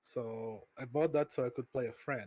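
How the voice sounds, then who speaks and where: A man talks at a medium pitch with ordinary pitch variation. He has a Portuguese accent. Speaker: vtuber streamer. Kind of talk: interview. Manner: halting.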